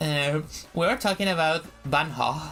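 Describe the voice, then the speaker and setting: A woman with a slight Spanish accent at a fairly slow pace, with music in the background. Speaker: VTuber streamer. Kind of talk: casual chat. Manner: halting.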